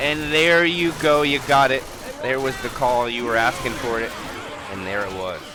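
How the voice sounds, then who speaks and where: Against noticeable background noise and audible room echo, a man speaks at a moderate pace in an animated tone. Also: medium pitch for a man, lively intonation. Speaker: esports caster. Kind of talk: live commentary.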